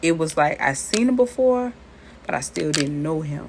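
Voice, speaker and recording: A woman's very deep, low voice with an American accent, lively intonation, and a very slow pace. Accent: Southern accent similar to New Orleans. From US South, Charleston. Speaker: tarot and spiritual reader. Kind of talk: casual spiritual talk to viewers with personal story. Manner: conversational, repetitive.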